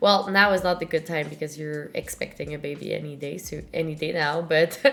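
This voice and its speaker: A woman in a French-Canadian accent talks at a moderate pace against noticeable background noise. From Montreal, Quebec. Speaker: podcast host. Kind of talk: casual interview chat.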